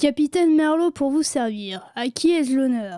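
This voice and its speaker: A woman puts on a character voice with a high pitch and lively intonation at a moderate pace, in a dry, close sound with no echo. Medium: read story. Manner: pompous, flowery.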